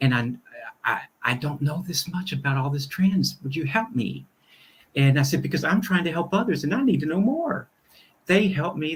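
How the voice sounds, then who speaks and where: This man's voice sits fairly high for a man and is somewhat breathy, moving at a fairly quick pace with very wide swings in pitch. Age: 60s. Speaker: minister. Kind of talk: conversational interview.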